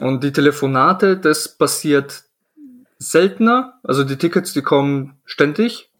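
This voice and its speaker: With an unremarkable speaking voice, a man talks at a fairly high pitch and a fairly slow pace, using lively intonation. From Poland, then Germany from age 11. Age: 20s. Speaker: IT system engineer. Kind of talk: casual interview.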